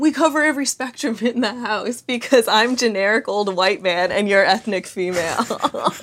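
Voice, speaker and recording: A woman speaks at a moderate pace with a fairly high pitch and lively intonation, in an ordinary speaking voice on a very clean recording with a silent background. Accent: Canadian. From Canada. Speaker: podcast host. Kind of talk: casual chat. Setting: at home on a couch.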